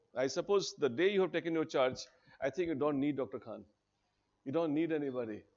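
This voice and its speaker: Here a man speaks in an Indian accent. His pace is fairly quick, with ordinary pitch variation. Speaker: teacher at a civil services coaching institute. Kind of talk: orientation talk to students. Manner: animated.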